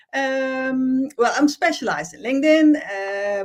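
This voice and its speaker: This woman talks with a Dutch accent and lively intonation. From Netherlands. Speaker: LinkedIn trainer. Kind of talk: live-streamed interview show. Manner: halting, many fillers.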